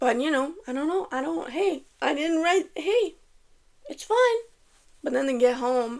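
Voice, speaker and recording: A woman with a French Canadian accent talks in a high voice that swings very widely in pitch. She leaves long pauses often. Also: fairly slow pace. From Quebec, French Canada. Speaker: YouTuber, movie commentator. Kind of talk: casual movie commentary. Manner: casual, filler-heavy.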